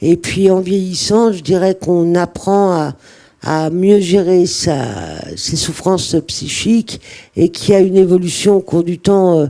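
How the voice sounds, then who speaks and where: At a very slow pace, a woman with a fairly low pitch speaks in a dark, mellow tone with fairly even intonation. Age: 60s. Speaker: mental health service user. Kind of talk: testimony. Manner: hesitant, many fillers.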